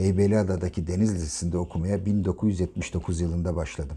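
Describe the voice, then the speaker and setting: A man with a very deep, low pitch and a dark, mellow, somewhat breathy tone speaks at a moderate pace with ordinary pitch variation. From Turkey, Ankara. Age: 50s. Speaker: podcaster, retired naval officer. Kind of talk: personal diary narration.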